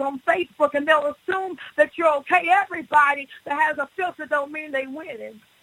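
In a raised, projected voice, a woman speaks at a high pitch and a moderate pace with fairly even intonation, the sound dry and close with no echo. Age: 40s. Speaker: pastor. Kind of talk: radio interview testimony.

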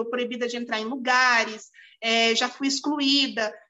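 A woman talks in a high voice while music plays in the background. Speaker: lawyer and municipal official. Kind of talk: interview. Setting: video call.

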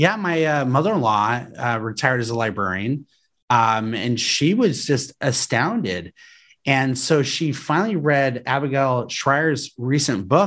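A man with an American accent talks in a normal speaking voice at a medium pitch and a fairly slow pace, with lively intonation. The recording is very clean, with a silent background. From Colorado, US. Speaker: political candidate for state education office. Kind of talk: casual interview.

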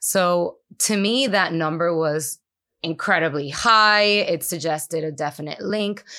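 The voice has a bright, sharp tone and a Spanish accent. It moves at a fairly slow pace. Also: woman, fairly low pitch for a woman, ordinary pitch variation, very clean recording, silent background. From Puerto Rico. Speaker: neuroscientist. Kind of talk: interview. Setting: conference.

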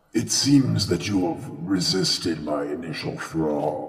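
A man's put-on character voice, very deep and low in pitch, at a fairly slow pace with clear echo. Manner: menacing, haughty.

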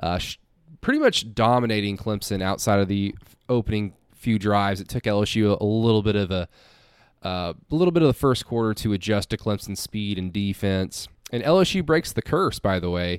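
A man with an American accent talks fairly quickly in a normal speaking voice, fairly low with ordinary pitch variation. The recording is very clean, with a silent background. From Oklahoma. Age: 20s. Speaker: sports radio host and podcaster. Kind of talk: sports podcast monologue.

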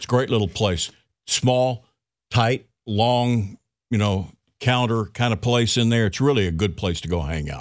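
In a very clean recording with a silent background, a man with a normal speaking voice talks at a fairly slow pace, medium in pitch with ordinary variation. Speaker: radio host. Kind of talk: casual radio banter. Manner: joking, laid-back.

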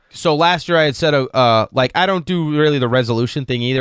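Recorded very cleanly against a silent background, a man with a fairly high pitch and ordinary pitch variation sounds dry and close, with no echo. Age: 40s. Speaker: podcast co-host. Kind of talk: casual chat. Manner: laid-back.

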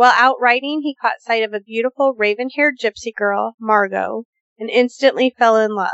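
Her pitch high and varying by an ordinary amount, a woman talks at a moderate pace. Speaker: paranormal podcast host. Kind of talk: casual discussion.

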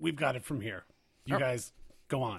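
Putting on a raspy character voice, a man speaks at a moderate pace and medium pitch with lively intonation. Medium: actual play. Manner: officious, preachy.

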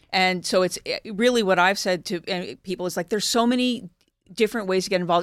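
A woman with an American accent at a medium pitch, with ordinary pitch variation and a fairly quick pace, on a very clean recording with a silent background. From Philadelphia, US. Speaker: journalist and volunteer. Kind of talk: panel discussion. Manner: halting.

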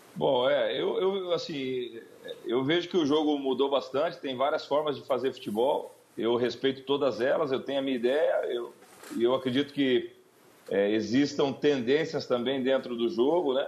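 Fairly high male voice at a moderate pace, with ordinary pitch variation. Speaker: football coach. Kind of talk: radio interview. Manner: halting.

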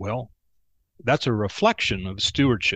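Man of medium pitch at a moderate pace, in a dry, close sound with no echo against a quiet background. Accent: Texan. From Texas. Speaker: banking consultant, former bank CFO. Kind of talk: casual interview chat.

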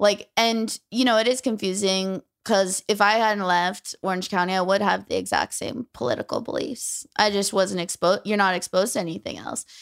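With hardly any pauses, a woman talks at a moderate pace and medium pitch with ordinary pitch variation in a dry, close sound with no echo, an unremarkable speaking voice. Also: very clean recording, silent background. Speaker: stand-up comedian. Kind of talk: casual chat.

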